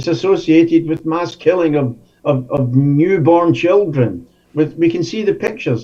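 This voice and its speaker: A fairly high-pitched man's voice with a dark, mellow tone, moderate pace and ordinary pitch variation. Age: 70s. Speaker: activist. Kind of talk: interview. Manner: halting.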